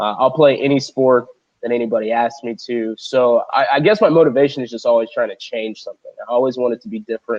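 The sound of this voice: Talking fast, a man with a medium pitch sounds nasal and slightly mellow, his pitch varying in an ordinary way.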